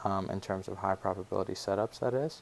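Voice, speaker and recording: A man speaks quietly with an American accent. His pitch is fairly low. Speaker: forex trading educator. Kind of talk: market analysis tutorial. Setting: family home, pre-recorded. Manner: quiet, subdued; many filler words.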